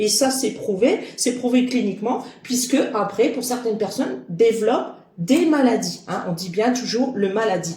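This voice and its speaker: A woman speaks at a fairly slow pace with lively intonation, and there is audible echo in the room. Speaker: medium and card reader. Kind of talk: spiritual guidance monologue. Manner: sharp, clipped.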